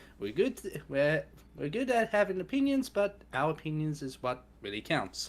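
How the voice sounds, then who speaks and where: An Australian accent at a moderate pace, on a very clean recording with a silent background. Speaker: streamer. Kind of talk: casual chat.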